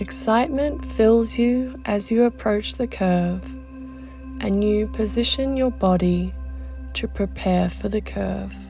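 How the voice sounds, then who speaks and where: The speech moves at a very slow pace with music playing in the background. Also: woman. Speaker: mindset coach. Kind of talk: guided meditation.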